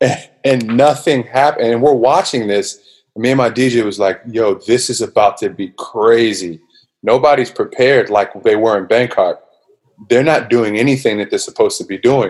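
In an American accent, an unremarkable speaking voice keeps a moderate pace and shows ordinary pitch variation. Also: man, medium pitch for a man. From US, Washington DC area. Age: 30s. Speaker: musician. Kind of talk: casual chat. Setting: video call.

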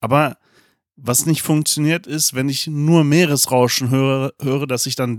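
Recorded very cleanly with a silent background and a dry, close sound without echo, a man in an unremarkable speaking voice talks at a fairly slow pace, medium pitch and fairly even intonation. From Germany. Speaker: podcast co-host. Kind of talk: casual chat.

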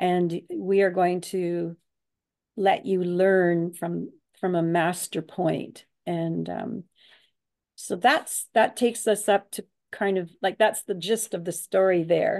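Speaking at a very slow pace, a woman keeps a medium pitch and a fairly even intonation. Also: quiet background. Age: 70s. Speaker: artist and author. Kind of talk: interview conversation.

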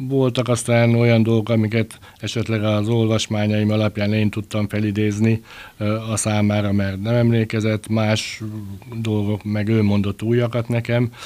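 This man has a fairly low pitch and a dark, mellow tone. He speaks at a moderate pace with very even loudness and monotone, flat intonation. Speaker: sports journalist, book author. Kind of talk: casual interview.

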